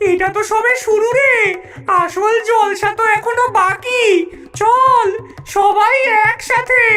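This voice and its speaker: A cartoonish, female-sounding character voice at an extremely high pitch moves at a fairly slow pace over clear background noise. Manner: bossy, scheming.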